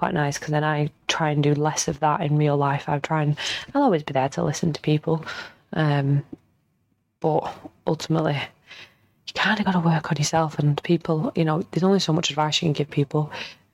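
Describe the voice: Talking at a fairly quick pace, a woman uses a low pitch with vocal fry, a slightly mellow tone and fairly even intonation.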